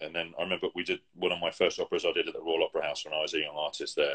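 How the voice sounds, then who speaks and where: A man talks with a British accent. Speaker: opera singer. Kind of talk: casual interview chat. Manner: fast; halting, many restarts.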